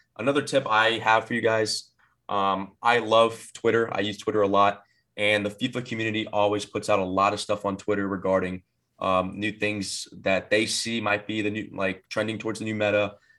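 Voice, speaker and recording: This man has a fairly low pitch and a bright, sharp tone, speaking in a flat monotone. His moderate pace comes through on a very clean recording with a silent background. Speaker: FIFA player guest. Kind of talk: casual chat.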